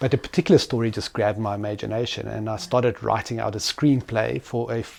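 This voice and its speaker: A man with a South African accent talks at a very fast pace, his medium pitch showing ordinary variation. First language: Afrikaans. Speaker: entrepreneur. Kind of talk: interview.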